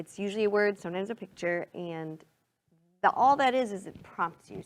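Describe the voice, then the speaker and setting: With a Minnesotan accent, a woman speaks at a medium pitch and a fairly quick pace, her tone animated and her intonation lively. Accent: Minnesota. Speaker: singer-songwriter. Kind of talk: casual interview.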